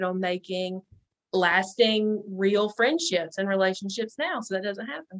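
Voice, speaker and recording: Here a woman speaks in a North Carolina accent. Her pitch is medium and her intonation fairly even. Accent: Southern US (North Carolina). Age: 20s. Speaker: podcast guest. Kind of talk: casual interview chat.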